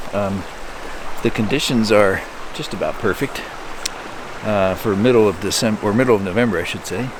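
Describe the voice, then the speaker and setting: Soft-spoken and with an American accent, a man talks at a moderate pace in a fairly low pitch over noticeable background noise. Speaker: nature photographer. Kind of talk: vlog narration. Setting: outdoors by a river. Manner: hesitant, many fillers.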